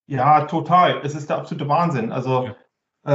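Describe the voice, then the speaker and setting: Somewhat breathy, a man speaks with a fairly high pitch and ordinary pitch variation. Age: 40s. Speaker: business applications expert. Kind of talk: casual chat.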